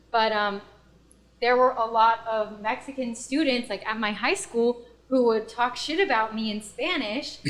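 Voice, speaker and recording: A woman with an American accent has an ordinary speaking voice, fairly high in pitch, with ordinary pitch variation and a fairly slow pace. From US East Coast (DC and rural Pennsylvania). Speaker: podcast guest. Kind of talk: casual chat.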